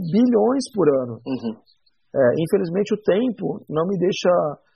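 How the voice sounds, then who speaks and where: Very wide pitch swings in a man's high-pitched voice. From São Paulo, Brazil. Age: 40s. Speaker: bar owner. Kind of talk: casual interview. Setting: studio.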